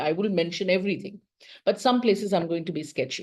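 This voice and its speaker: Dark and mellow in tone, a woman's voice sits at a medium pitch with ordinary pitch variation. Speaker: professor. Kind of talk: lecture. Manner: fast.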